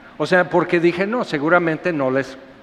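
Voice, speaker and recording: Fairly slow speech with ordinary pitch variation and noticeable background noise. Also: man. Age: 60s. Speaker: pastor. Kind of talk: sermon. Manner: animated.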